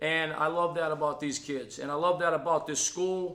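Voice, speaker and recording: With a Boston accent and an animated tone, a man speaks at a high pitch and moderate pace amid audible room echo and noticeable background noise. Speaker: college football offensive line coach. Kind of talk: press conference interview.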